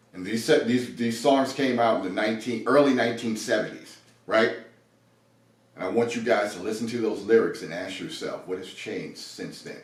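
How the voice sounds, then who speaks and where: At a moderate pace, a man talks with big swings in loudness. Room echo is audible. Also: medium pitch for a man, fairly even intonation. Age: 60s. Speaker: podcast co-host. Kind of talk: casual chat.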